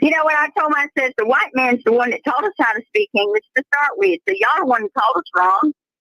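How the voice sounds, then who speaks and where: In a Southern accent, a woman with a high pitch speaks in a raised, projected voice, her tone bright and sharp, racing at a very fast pace with hardly any pauses and very wide pitch swings. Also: dry, close sound with no echo. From US South. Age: 70s. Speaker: family member of an inmate. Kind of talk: casual chat.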